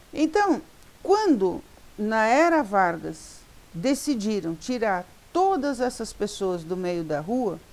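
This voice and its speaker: Very slowly, a woman speaks in a fairly high pitch. Her pitch swings very widely. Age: 60s. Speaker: social worker and educator. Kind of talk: talk to law students.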